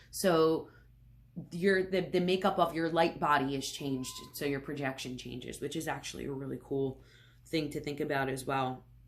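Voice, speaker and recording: This speaker talks at a moderate pace with an American accent. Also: woman, very deep, low pitch for a woman, ordinary pitch variation. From Philadelphia, US. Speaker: tarot reader. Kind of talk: educational talk to camera.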